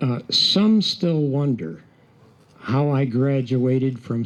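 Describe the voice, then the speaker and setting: At a very slow pace, a man with an American accent talks at a medium pitch with ordinary pitch variation. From Upstate New York, Baldwinsville. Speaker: retired Air Force colonel, memorial day speaker. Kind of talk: ceremonial speech.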